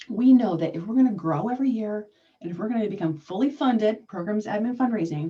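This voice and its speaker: A woman talks at a very fast pace. Her voice is fairly high, with lively intonation. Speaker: fundraising consultant. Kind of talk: webinar presentation. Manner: animated.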